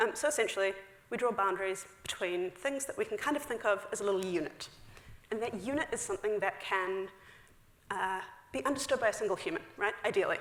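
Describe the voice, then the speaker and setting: A woman talks at a very fast pace with a New Zealand accent. Her pitch is medium, and background noise is noticeable. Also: ordinary pitch variation. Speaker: software engineer. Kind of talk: conference talk. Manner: casual, filler-heavy.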